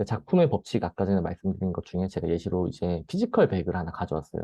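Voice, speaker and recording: Here a man speaks in a fairly low pitch. His pace is very fast. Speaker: presenter. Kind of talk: lecture.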